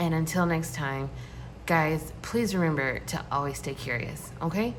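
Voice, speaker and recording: The speech moves at a fairly slow pace. Noticeable background noise and audible room echo are present. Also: woman. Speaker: tarot reader. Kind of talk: tarot reading. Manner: shaky.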